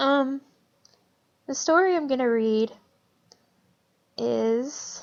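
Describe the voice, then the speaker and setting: A woman with a high pitch speaks at a very slow pace, leaving long, frequent pauses. Her pitch varies in an ordinary way. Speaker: creepy story narrator. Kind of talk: casual talk to camera. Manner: stuttering, self-correcting.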